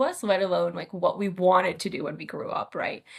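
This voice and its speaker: A woman in an American accent talks fairly quickly. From Moldova, then US Midwest from age ten. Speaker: psychiatrist. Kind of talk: podcast interview.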